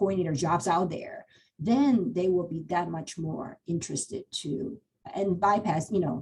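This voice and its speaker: A woman talks at a moderate pace in a dark, mellow tone that is somewhat breathy. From Taiwan. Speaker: cancer center hiring manager. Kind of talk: panel Q&A. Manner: halting.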